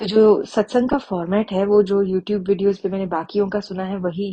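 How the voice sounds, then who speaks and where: Speaking at a medium pitch, a woman is heard. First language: Punjabi (speaking Hindi). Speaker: devotee sharing testimony. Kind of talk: testimony. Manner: halting, with fillers.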